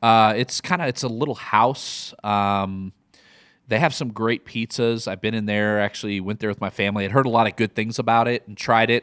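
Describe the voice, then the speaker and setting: This man speaks with a Midwestern accent, his medium-pitched voice keeping a fairly even intonation. The sound is dry and close with no echo, a very clean recording over a silent background. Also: moderate pace. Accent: Midwest American. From US Midwest. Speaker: podcast host. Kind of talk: casual chat, comedic banter.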